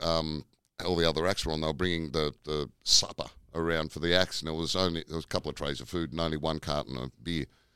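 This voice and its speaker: Speaking at a very fast pace, a man with a very deep, low pitch and a bright, sharp tone shows vocal fry and fairly even intonation, in a dry, close sound with no echo. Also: very clean recording, silent background. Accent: Australian. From Tasmania, Australia. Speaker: comedian. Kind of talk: casual chat.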